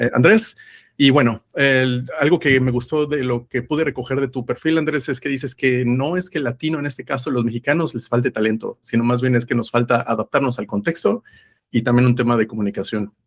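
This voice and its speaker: In a plain, everyday voice, a man talks at a fairly quick pace and a medium pitch with fairly even intonation, the sound dry and close with no echo. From Mexico. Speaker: podcast host. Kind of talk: interview. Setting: call.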